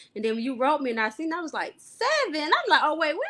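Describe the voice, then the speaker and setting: A woman speaks in a raised, projected voice at an extremely high pitch. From Detroit, US Midwest. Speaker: gun violence survivor. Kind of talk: testimony. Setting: live video stream.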